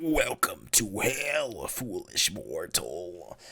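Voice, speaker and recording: Using a put-on character voice, a man talks at a very slow pace. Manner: menacing, theatrical.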